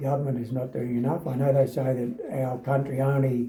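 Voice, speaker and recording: A man speaks at a medium pitch in a dark, mellow tone that is somewhat breathy. His intonation is fairly even. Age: 80s+. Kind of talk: interview answer. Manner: unhurried, hesitant with fillers.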